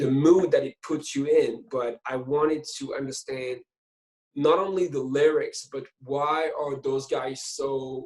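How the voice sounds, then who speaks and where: Fairly high in pitch, this man speaks at a fairly slow pace. His intonation stays fairly even. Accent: French. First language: French. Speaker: film director. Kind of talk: interview. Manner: halting.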